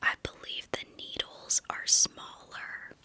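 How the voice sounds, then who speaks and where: Whispering very slowly, a woman speaks over noticeable background noise. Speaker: ASMR creator. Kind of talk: whispered ASMR Q&A to camera. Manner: whispered, soft-spoken, calming.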